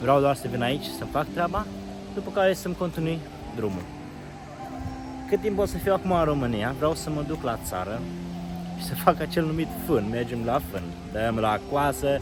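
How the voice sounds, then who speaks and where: Over music in the background, a man with a Moldavian accent speaks at a moderate pace and medium pitch, with very wide pitch swings and long, frequent pauses. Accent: Moldavian Romanian. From Romania, Moldavia region. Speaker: travel vlogger. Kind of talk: casual vlog monologue. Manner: casual, conversational.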